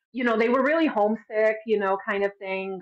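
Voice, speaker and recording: The speaker uses fairly even intonation with a Midwestern accent. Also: woman. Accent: American Midwest. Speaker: dancer. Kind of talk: interview. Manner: casual, many fillers.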